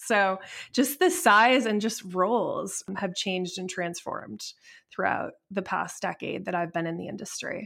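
A woman with an American accent, an unremarkable speaking voice, medium pitch, ordinary pitch variation and a fairly slow pace, on a very clean recording with a silent background. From upstate New York. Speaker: solar company executive. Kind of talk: interview.

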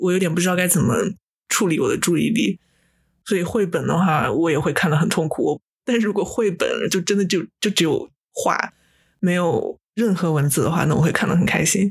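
In a very clean recording with a silent background, a woman with a fairly low, somewhat breathy voice talks at a fairly quick pace with long, frequent pauses, very even loudness and ordinary pitch variation. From Japan. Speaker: podcast co-host. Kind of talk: casual chat.

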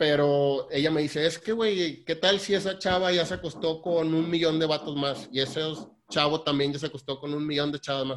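A man with a fairly high pitch and a normal speaking voice talks at a moderate pace with fairly even intonation. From Mexico, Tampico. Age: 30s. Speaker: lawyer working in ship maintenance. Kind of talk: casual chat.

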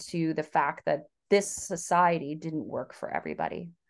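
A woman with an American accent speaks in a normal speaking voice at a fairly low pitch. Her pace is fairly slow, her intonation fairly even, and the background quiet. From US South. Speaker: author. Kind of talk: interview.

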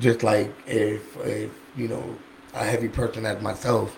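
Noticeable background noise under a flat, monotone intonation. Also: man. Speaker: medical cannabis dispensary liaison. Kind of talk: casual chat. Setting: podcast studio.

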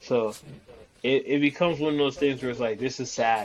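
There's noticeable background noise as a man with a medium pitch talks at a fairly quick pace. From Gambian family household. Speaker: podcast co-host. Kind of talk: casual chat. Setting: studio.

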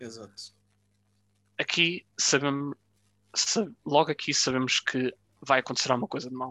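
Long, frequent pauses break up delivery that otherwise keeps a moderate pace. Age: 20s. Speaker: podcast co-host. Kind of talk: casual chat.

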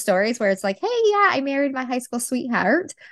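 A woman talks in an energetic tone. The background is quiet. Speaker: podcast host and Reiki trainer. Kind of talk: casual interview.

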